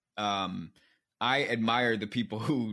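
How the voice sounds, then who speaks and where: A man's medium-pitched voice with a bright, sharp tone and an American accent, over a quiet background. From US Mid-Atlantic (Maryland suburbs of Washington, D.C.). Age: 30s. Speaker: writer and author. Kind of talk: interview. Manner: hesitant, many fillers.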